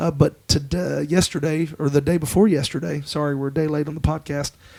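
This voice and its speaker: Quiet and fairly quick, a man speaks at a fairly high pitch. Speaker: pastor. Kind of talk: casual chat.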